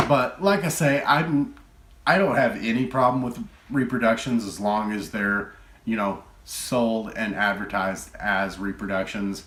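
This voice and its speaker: In a room with audible echo, a man with a Texan accent speaks in a relaxed tone at medium pitch and a fairly slow pace, with ordinary pitch variation. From Texas. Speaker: retro game collector YouTuber. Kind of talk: casual collection show-and-tell. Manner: relaxed, filler-heavy.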